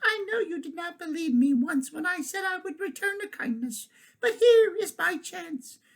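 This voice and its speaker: A put-on character voice sits at an extremely high pitch. It moves at a moderate pace. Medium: read story.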